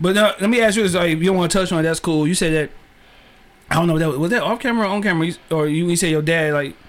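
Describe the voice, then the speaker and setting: A high-pitched man talks very fast with ordinary pitch variation and very even loudness. Noticeable background noise runs underneath. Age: 30s. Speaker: podcast host. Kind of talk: casual interview chat. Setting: studio.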